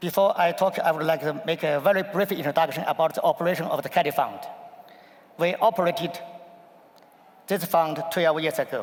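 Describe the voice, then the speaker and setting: Speaking with a Chinese accent, a man with a high pitch keeps a fairly quick pace and fairly even intonation, broken by long, frequent pauses. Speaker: investment fund executive. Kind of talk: panel discussion. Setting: conference stage with audience.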